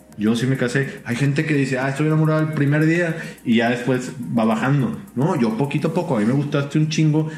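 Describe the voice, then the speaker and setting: Here a man talks at a fairly quick pace with ordinary pitch variation. Audible room echo and noticeable background noise are present. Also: fairly high pitch for a man, very even loudness. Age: 30s. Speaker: podcast co-host. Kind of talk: casual chat.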